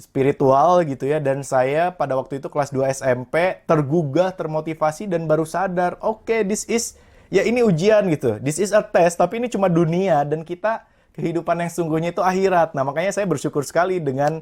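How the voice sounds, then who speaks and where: A man's high-pitched voice, fairly quick with hardly any pauses and ordinary pitch variation, on a very clean recording with a silent background. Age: 20s. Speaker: motivational speaker and entrepreneur. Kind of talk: interview.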